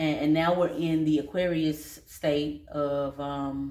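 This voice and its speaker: Delivered at a very slow pace, the voice stays monotone and flat, with audible room echo. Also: woman. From North Carolina, Statesville. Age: 30s. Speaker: vlogger and dance studio owner. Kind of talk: casual personal vlog. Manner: casual, relaxed.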